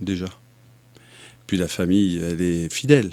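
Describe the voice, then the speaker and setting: A man with a slight southern French accent speaks at a fairly slow pace in a very deep, low pitch. His tone is dark and mellow, and the recording is very clean with a silent background. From southern France. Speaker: mayoral candidate. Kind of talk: interview.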